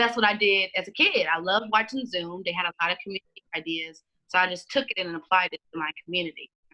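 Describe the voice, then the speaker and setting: Loud and at a very fast pace, a woman with a medium pitch, ordinary pitch variation and a bright, sharp tone speaks in a dry, close sound with no echo. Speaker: community activist and librarian. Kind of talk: podcast interview.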